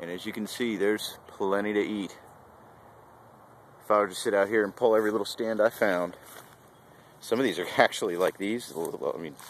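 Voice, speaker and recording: A man with an ordinary speaking voice talks at a fairly quick pace with fairly even intonation and a fairly low pitch, the sound dry with no echo and light background noise behind him. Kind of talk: tutorial. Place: open country. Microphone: phone near.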